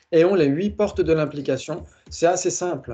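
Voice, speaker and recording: This man has a dark, mellow tone and a fairly high pitch. He speaks in a central French accent with ordinary pitch variation. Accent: Blois accent, central France. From France, Blois area. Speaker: teacher of Buddhist logic. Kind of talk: online lecture with group discussion. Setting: video call with screen share. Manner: says he articulates poorly; hesitant, frequent fillers.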